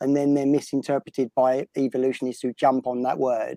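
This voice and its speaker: Dark, mellow tone in a British accent at a fairly quick pace, with a dry, close sound and no echo. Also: man. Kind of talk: casual discussion.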